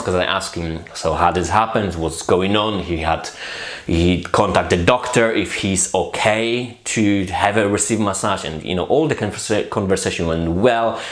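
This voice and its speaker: Noticeable background noise and audible room echo fill the recording. A man speaks at a moderate pace with a fairly low pitch. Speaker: massage therapist. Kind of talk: casual chat. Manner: halting, with many repetitions.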